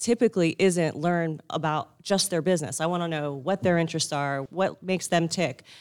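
A woman with an American accent and a normal speaking voice, fairly low in pitch with ordinary pitch variation, at a moderate pace, on a very clean recording with a silent background. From US Northeast. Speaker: business development director. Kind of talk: live panel discussion. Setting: live event at a club.

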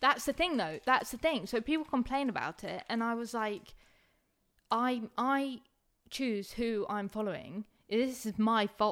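Speaking at a fairly slow pace with lively intonation, a woman's fairly high voice comes through a very clean recording with a silent background. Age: 30s. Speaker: bookmark business owner and artist. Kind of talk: casual chat.

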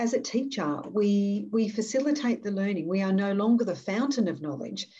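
Somewhat breathy and delivered at a moderate pace, this voice has an Australian accent and ordinary pitch variation. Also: woman. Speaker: podcast host and education consultant. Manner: high-energy, positive.

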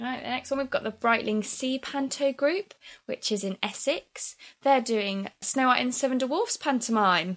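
A woman speaks at a moderate pace in a high voice, recorded very cleanly against a silent background with a dry, close sound and no echo. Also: ordinary pitch variation. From Newbury, southern England. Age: 20s. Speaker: podcast co-presenter, amateur performer. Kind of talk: casual chat with listings reading.

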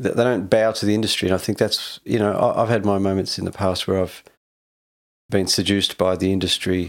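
A man speaks fairly quickly with an Australian accent, his pitch fairly low and his intonation flat and monotone. The recording is very clean, with a silent background. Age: 50s. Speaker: rock guitarist. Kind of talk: casual interview.

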